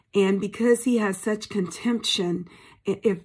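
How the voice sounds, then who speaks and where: A somewhat breathy woman's voice at medium pitch. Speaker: preacher. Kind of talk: devotional sermon. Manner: animated, emphatic, repeats words.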